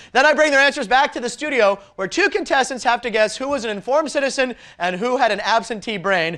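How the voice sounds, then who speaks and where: A man with an extremely high pitch and a bright, sharp tone talks in a raised, projected voice at a very fast pace with hardly any pauses. His delivery is animated, with lively intonation. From United States. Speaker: game show host. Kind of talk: game show hosting. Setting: studio.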